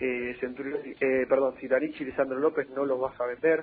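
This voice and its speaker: Background music can be heard. Over it, a man talks at a medium pitch. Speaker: football journalist. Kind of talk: casual chat.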